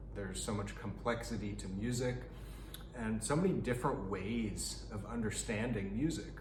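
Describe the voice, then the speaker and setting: A man talks at a moderate pace, with audible echo in the room. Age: 30s. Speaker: pianist and piano teacher. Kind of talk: tutorial. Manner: halting.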